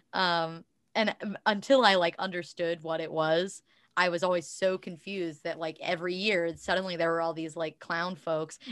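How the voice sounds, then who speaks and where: A woman with an unremarkable speaking voice, fairly low pitch, fairly even intonation and a moderate pace, over a quiet background. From southeastern Ohio. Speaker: musician. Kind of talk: casual chat. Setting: video call.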